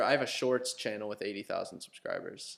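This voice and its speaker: Talking very fast, a man speaks with a Midwestern American accent. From Ohio, US Midwest. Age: young. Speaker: YouTuber. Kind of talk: casual chat.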